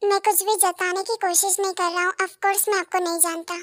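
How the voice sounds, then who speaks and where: A woman does a put-on character voice at an extremely high pitch, monotone and flat. She races at a very fast pace, recorded with a dry, close sound and no echo. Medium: audio drama. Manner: polite, formal, hesitant.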